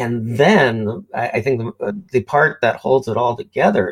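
A man talks at a fairly slow pace with vocal fry. His pitch is medium. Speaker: podcast host and design teacher. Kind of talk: casual interview chat.

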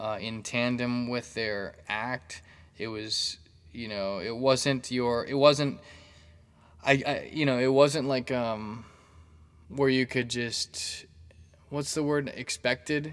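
Medium in pitch, a man talks very slowly with fairly even intonation and long, frequent pauses. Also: very clean recording, silent background. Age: 30s. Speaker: comedy podcast host. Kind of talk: casual solo monologue. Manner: hesitant with many fillers.

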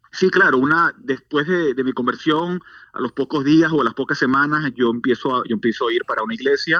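A man talks at a fairly quick pace in a bright, sharp tone, his fairly high pitch varying in an ordinary way. The sound is dry and close with no echo over a quiet background. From Venezuela. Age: 40s. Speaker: church outreach director. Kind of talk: testimony.

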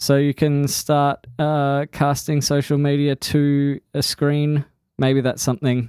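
In a playful tone, the voice moves at a very slow pace with monotone, flat intonation and very even loudness, the sound dry and close with no echo. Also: man, fairly high pitch for a man. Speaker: podcast host. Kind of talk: casual chat. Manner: playful, joking.

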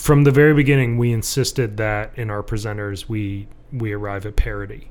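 A man with an unremarkable speaking voice talks with an American accent at a fairly quick pace, medium in pitch with fairly even intonation. His loudness swings widely. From Michigan. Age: 30s. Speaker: blacksmith. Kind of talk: casual interview chat.

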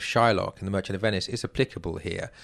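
A man speaks with an English accent. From England. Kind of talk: literary discussion interview.

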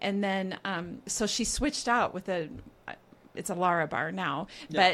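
On a very clean recording with a silent background, a woman with an unremarkable speaking voice talks at a moderate pace in a medium pitch with ordinary pitch variation. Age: 40s. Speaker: real estate agent, podcast co-host. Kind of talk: casual chat.

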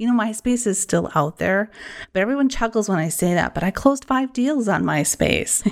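Speaking with an enthusiastic tone in a Wisconsin accent, a woman with a fairly high pitch uses lively intonation at a moderate pace. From Wisconsin, US. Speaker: social media marketing business owner and podcast host. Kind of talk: podcast introduction, solo monologue. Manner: friendly, conversational, enthusiastic.

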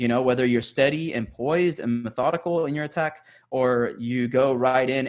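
The man has an unremarkable speaking voice with a medium pitch. His pace is moderate, and his intonation is fairly even. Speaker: soccer podcast host. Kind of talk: casual chat.

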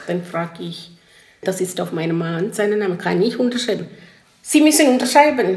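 Speaking with a non-native accent at a medium pitch, a woman is heard with audible room echo. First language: not German (speaking German). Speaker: interviewee. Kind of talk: interview testimony.

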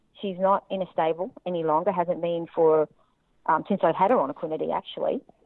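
A woman with an Australian accent, fairly low in pitch, at a fairly quick pace with ordinary pitch variation. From Australia, Central Queensland. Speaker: horse owner and reining rider. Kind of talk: testimony.

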